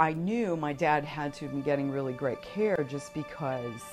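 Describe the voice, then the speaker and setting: A woman with a very deep, low pitch speaks at a moderate pace with ordinary pitch variation as music plays in the background. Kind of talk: interview answer.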